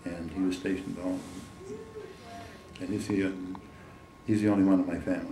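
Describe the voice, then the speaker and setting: A man with an American accent and a very deep, low pitch speaks in a monotone, flat way with long, frequent pauses, amid audible room echo and noticeable background noise. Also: fairly quick pace. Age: 80s+. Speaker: war veteran. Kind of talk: oral history interview. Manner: halting.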